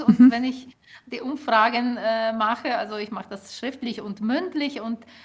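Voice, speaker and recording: A woman with a Ukrainian accent speaks at a fairly high pitch and a fairly slow pace. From Ukraine. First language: Ukrainian (speaking German). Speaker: linguist and author. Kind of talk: interview. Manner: hesitant, many filler sounds.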